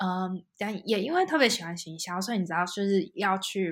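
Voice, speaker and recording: The woman has an ordinary speaking voice, set at medium pitch and delivered at a moderate pace. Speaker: UX designer. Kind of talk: interview.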